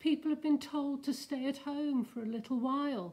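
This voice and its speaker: This woman uses a put-on character voice. Her pitch sits high. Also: moderate pace. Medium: read story. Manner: warm, motherly.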